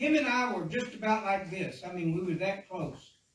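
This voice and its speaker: A man's high-pitched voice with lively intonation, heard with audible room echo. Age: 60s. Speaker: pastor. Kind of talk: sermon. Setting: church. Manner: halting.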